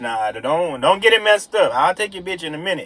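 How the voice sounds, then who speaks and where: A man's voice with very wide pitch swings. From Detroit, US Midwest. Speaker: vlogger. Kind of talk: casual vlog monologue. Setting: in a car. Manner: halting, repeats words.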